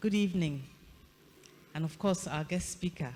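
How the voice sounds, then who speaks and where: A woman speaks softly. Her voice is somewhat breathy. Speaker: governing council member. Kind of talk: formal address; ceremonial affirmation. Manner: soft-spoken; formal. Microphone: too quiet for online audience.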